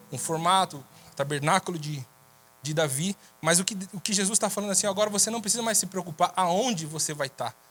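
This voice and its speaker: The speaker keeps a fairly quick pace and ordinary pitch variation. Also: man. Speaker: preacher. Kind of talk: sermon.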